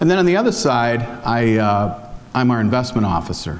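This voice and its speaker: A man at medium pitch and moderate pace, ordinary pitch variation, with audible room echo and noticeable background noise. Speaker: foundation investment officer. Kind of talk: conference talk. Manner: hesitant, many fillers.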